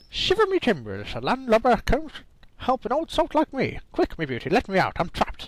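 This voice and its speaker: Putting on a character voice, a man speaks at an extremely high pitch and a fairly quick pace. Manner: desperate, pleading.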